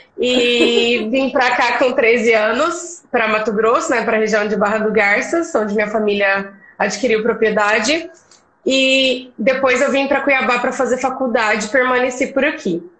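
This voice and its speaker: A high-pitched woman speaks with a Minas Gerais accent at a fairly slow pace and with ordinary pitch variation. Her loudness stays very even, and there is noticeable background noise. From Brazil, Minas Gerais. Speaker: agronomist. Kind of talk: casual interview. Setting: live stream.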